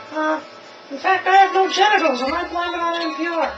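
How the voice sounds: A put-on character voice moves at a fairly quick pace over clear background noise. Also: man.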